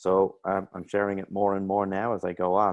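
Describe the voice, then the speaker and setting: A man with an Irish accent talks at a very deep, low pitch. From Ireland. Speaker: mental health coach. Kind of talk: interview.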